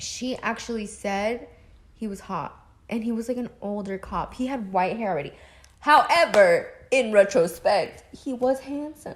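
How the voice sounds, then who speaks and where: The delivery is animated, with lively intonation. The voice is somewhat breathy. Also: woman. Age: 20s. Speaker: podcast co-host. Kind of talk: casual chat.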